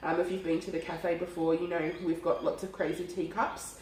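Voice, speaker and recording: A woman speaks amid noticeable background noise. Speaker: cafe owner and cooking host. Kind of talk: casual talk to camera.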